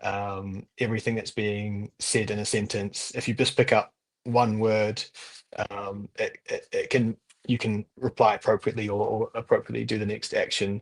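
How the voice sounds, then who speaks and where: This man's voice sits fairly low, with monotone, flat intonation at a moderate pace. The sound is dry and close with no echo, over a quiet background. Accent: New Zealand. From New Zealand. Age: 20s. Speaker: language student. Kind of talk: interview. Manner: halting.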